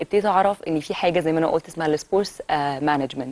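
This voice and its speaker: A woman talks at a very fast pace, her pitch fairly low and its movement ordinary. The sound is dry, without any echo. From Egypt. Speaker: former volleyball player; TV guest. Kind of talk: TV interview. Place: studio.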